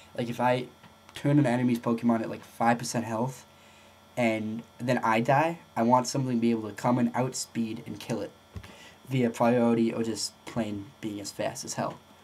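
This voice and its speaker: The man speaks at medium pitch in a monotone, flat intonation. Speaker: gaming video creator. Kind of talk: tutorial. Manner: fast; halting. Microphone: poor audio, no proper mic.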